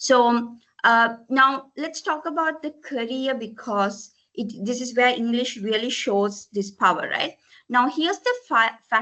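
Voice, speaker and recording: With a Tamil accent, a woman speaks in a high voice whose pitch varies in an ordinary way. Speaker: corporate language trainer. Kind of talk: presentation. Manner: frequent fillers, mixes Sinhala and English.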